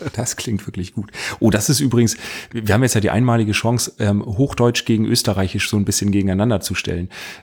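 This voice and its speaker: A man rushes through his words very fast, his voice fairly low and his intonation fairly even. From northern Germany. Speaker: podcaster, creative agency worker. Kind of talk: casual chat. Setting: remote call.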